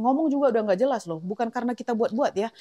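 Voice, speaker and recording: A woman's animated tone with ordinary pitch variation, in a dry, close sound with no echo. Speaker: home cooking vlogger and mother. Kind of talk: casual cooking vlog. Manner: chatty, animated.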